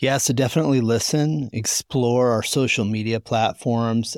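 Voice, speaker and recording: Here a man speaks in an ordinary speaking voice at medium pitch and a moderate pace. His intonation stays fairly even on a very clean recording with a silent background. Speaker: podcast host. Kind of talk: casual recap chat. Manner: casual, conversational.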